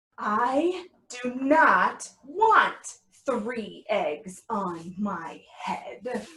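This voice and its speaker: A female-sounding voice puts on a character voice with a high pitch. She speaks at a very slow pace. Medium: read story. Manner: worried, fretful.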